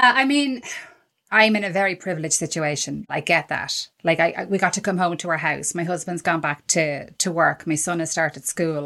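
A woman with an Irish accent talks at a fairly quick pace in a fairly low pitch, her tone bright and sharp and her intonation lively against a quiet background. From Ireland. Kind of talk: casual chat.

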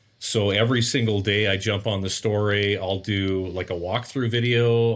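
At a moderate pace, a man with a Canadian accent speaks at a fairly low pitch and with fairly even intonation, on a very clean recording with a silent background. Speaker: renovation company owner. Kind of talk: casual interview chat.

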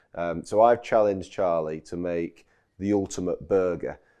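Over a quiet background, a man with a Yorkshire accent speaks with ordinary pitch variation. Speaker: chef and restaurant owner. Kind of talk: casual chat. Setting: outdoors on a farm.

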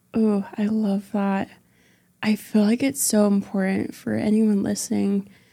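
A woman with a dark, mellow tone and medium pitch speaks somewhat breathily at a fairly slow pace, her intonation fairly even. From western US, moved often. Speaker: entrepreneur. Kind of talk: interview conversation.

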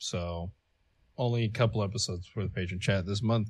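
A man's normal speaking voice, fairly low-pitched, with ordinary pitch variation. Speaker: podcast co-host. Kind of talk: casual chat.

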